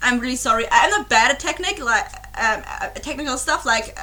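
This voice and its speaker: A raised, projected voice at a fairly quick pace, with very wide pitch swings and noticeable background noise. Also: woman. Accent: German. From Germany. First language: German. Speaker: YouTube reaction creator. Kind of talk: casual vlog chat. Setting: home recording with webcam. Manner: halting, many fillers and restarts.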